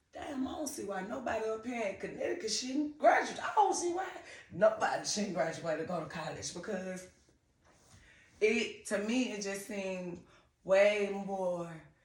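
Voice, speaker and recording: With an American accent, a woman at a medium pitch speaks at a fairly slow pace, her pitch swinging very widely and her loudness shifting greatly, with long, frequent pauses and audible room echo. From US South, Griffin, Georgia. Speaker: TV personality. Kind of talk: interview.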